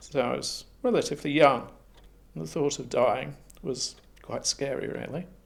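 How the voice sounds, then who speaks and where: The speaker keeps a moderate pace but leaves long, frequent pauses. Loudness rises and falls in big swings. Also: man. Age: 60s. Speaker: person living with HIV. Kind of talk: testimony.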